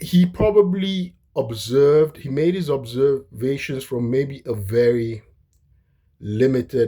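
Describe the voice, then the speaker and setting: At a very slow pace, a man with a non-native accent speaks at a medium pitch with lively intonation. His tone is dark, mellow and somewhat breathy. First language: not English. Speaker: history commentator. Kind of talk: casual monologue lecture. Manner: halting, many fillers and restarts.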